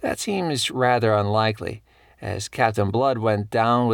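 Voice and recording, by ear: Lines are read aloud in a natural voice.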